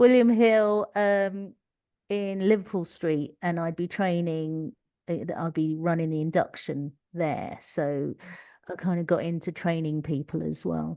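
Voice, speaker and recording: A dark, mellow voice in a Cockney accent, fairly slow, with ordinary pitch variation and a quiet background. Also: woman, fairly low pitch for a woman. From East London. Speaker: leadership coach, former teacher. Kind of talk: podcast interview.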